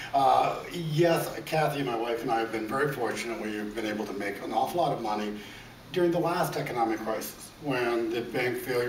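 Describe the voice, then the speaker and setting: Ordinary pitch variation at a fairly quick pace, with noticeable background noise and audible room echo. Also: man. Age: 60s. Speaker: self-made businessman, debt buyer. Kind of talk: interview. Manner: stammering on repeated words.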